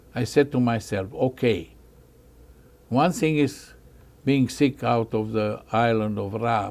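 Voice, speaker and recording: Speech comes at a very slow pace with ordinary pitch variation. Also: man. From Bosnia. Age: 80s+. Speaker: Holocaust survivor. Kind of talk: testimony. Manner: halting.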